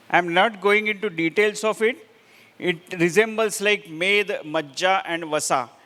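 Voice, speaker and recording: A man speaks in a high, raised, projected voice with a bright, sharp tone. His pace is moderate. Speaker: Ayurveda lecturer. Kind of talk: lecture.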